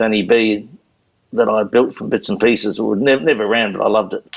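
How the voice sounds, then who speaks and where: This man has a New Zealand accent. He talks at a fairly quick pace. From New Zealand, Canterbury. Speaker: retired motorcycle racer. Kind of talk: interview storytelling.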